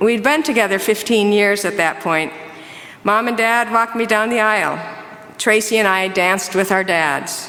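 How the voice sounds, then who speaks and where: A woman with an Upper Midwest accent talks at medium pitch and a moderate pace, with ordinary pitch variation and very even loudness, over noticeable background noise. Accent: Upper Midwest American. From Minnesota. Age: 60s. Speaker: church member. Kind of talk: testimony.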